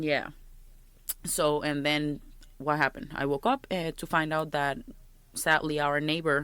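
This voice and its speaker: On a very clean recording with a silent background, a woman with a strong Puerto Rican accent speaks at very deep, low pitch in a bright, sharp tone, with fairly even intonation, a moderate pace and long, frequent pauses. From Puerto Rico. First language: Spanish. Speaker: podcast co-host. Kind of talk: casual chat.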